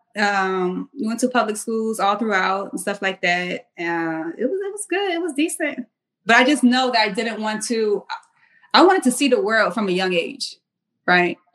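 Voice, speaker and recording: In an ordinary speaking voice, a woman talks at a moderate pace with fairly high pitch and lively intonation. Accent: American. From US South, Charleston area, South Carolina. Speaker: military service member and fitness apparel entrepreneur. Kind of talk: casual interview.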